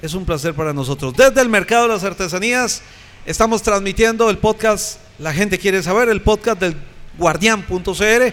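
Against noticeable background noise, a man with a Costa Rican accent speaks at a moderate pace with a high pitch and ordinary pitch variation. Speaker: podcast host. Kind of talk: panel discussion; show intro.

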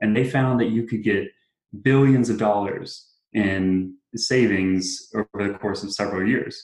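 A man with an American accent and a normal speaking voice, fairly low in pitch, at a fairly slow pace with fairly even intonation. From South Carolina. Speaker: campaign worker. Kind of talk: interview.

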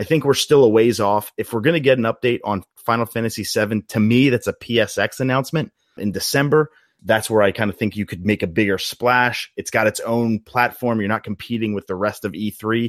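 An ordinary speaking voice from a man at medium pitch, fairly quick, with ordinary pitch variation, on a very clean recording with a silent background and a dry, close sound with no echo. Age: 30s. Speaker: video game commentator. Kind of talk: casual chat.

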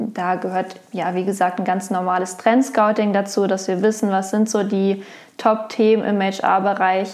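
A woman with a medium pitch speaks at a fairly slow pace with fairly even intonation, in a normal speaking voice. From Lower Saxony, Germany (Wolfsburg). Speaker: HR innovation specialist. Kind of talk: interview. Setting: in person.

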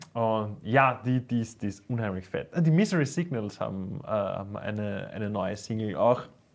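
A man speaks with hardly any pauses. He has a normal speaking voice with ordinary pitch variation. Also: medium pitch for a man, fairly slow pace. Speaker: metal podcast co-host, musician. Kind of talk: casual chat.

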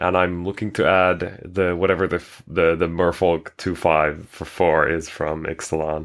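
Spoken with a Finnish accent, the delivery runs on with hardly any pauses in a flat, monotone intonation. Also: man, very deep, low pitch for a man, moderate pace, very clean recording, silent background. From Finland. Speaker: game streamer. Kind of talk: casual chat.

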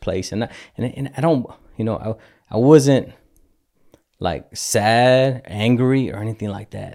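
Speaking fairly slowly, a man uses ordinary pitch variation and a dark, mellow tone. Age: 40s. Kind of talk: casual chat. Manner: halting.

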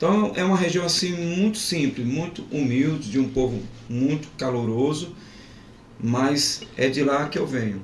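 A man in a Pernambuco accent, fairly high in pitch, with lively intonation and a fairly slow pace, amid audible room echo and noticeable background noise. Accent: Pernambuco accent, still present. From Pernambuco, Brazil (Zona da Mata). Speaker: pastor. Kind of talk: testimony.

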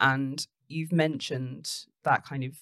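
Speaking in a London accent, a woman uses a very deep, low pitch with vocal fry. Her intonation is fairly even and her pace moderate. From North London. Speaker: podcast host, business CEO. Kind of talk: interview.

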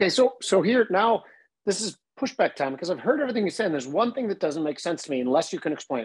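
Talking at a very fast speed, a man's voice has lively intonation. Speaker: podcast host. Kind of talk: casual interview.

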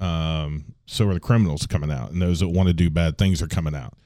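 Over a silent background in a very clean recording, a man speaks with a dark, mellow tone. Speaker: city administrator. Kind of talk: interview. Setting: studio.

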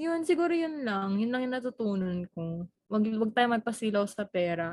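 Her voice carries some breathiness. The woman keeps to a moderate tempo. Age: 20s. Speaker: podcast co-host. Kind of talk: casual chat.

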